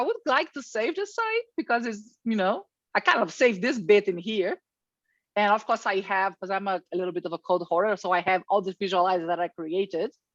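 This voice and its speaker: In a dry, close sound with no echo and a quiet background, a woman with an unremarkable speaking voice talks at a fairly quick pace with lively intonation. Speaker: software presenter. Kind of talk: tutorial.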